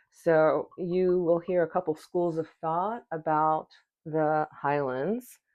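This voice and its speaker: Very slowly and with fairly even intonation, a woman speaks at a very deep, low pitch. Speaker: whisky reviewer. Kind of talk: product review. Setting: at home at night.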